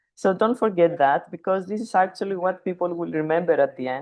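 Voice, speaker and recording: Speaking at a moderate pace, a woman talks with a non-native accent. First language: not English. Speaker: plant science consultant. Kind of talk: webinar talk. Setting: video call from a conference venue.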